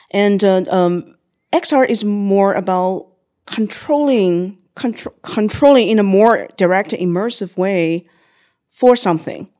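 A woman talks at a fairly slow pace with a Chinese accent, her pitch medium with ordinary variation. The recording is very clean, with a silent background. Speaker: XR entrepreneur. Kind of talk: interview conversation.

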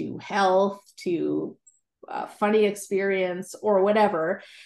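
A woman with a Canadian accent speaks in a normal speaking voice, medium in pitch, at a fairly slow pace with fairly even intonation against a quiet background. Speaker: writer and Bible teacher. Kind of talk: interview.

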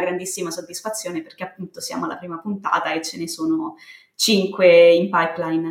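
This woman has an ordinary speaking voice, medium in pitch with ordinary pitch variation, and she talks at a fairly quick pace. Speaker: communications consultant and podcaster. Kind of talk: casual interview. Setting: remote call, home setup. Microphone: built-in laptop mic.

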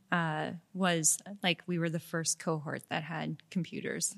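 On a very clean recording with a silent background, a woman speaks in a fairly low, bright, sharp voice with monotone, flat intonation. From Montreal, Quebec. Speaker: creative director. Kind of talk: casual chat. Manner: direct.

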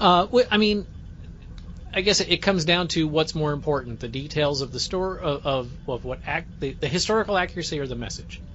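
A man with an ordinary speaking voice, fairly high pitch, ordinary pitch variation and a fairly quick pace. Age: 50s. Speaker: podcast host. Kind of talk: casual chat.

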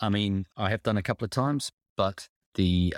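Speaking with a New Zealand accent, a man talks at a fairly quick pace in a fairly low pitch with ordinary pitch variation. The sound is dry and close with no echo, and the recording is very clean over a silent background. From New Zealand, Auckland. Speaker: sports photographer. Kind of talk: interview. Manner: hesitant, repeats words.

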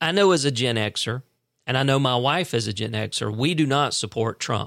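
This man has an unremarkable speaking voice, medium in pitch, with lively intonation. The recording is very clean and the background silent. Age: 50s. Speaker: podcast host. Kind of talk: political commentary monologue. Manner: casual, conversational.

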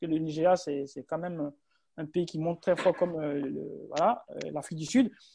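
A man's voice against a quiet background. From West Africa. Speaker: entrepreneur and podcast host. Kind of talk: guest speaker in online group discussion. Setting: online group call.

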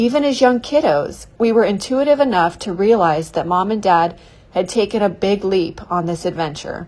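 A woman with an American accent speaks at a moderate pace in a medium pitch, her intonation lively. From California Mojave Desert. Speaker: podcast host. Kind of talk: reading aloud.

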